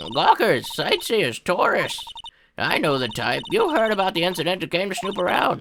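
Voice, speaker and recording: Using a put-on character voice, a woman swings her pitch very widely. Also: medium pitch for a woman, moderate pace. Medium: dub. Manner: brash, gruff.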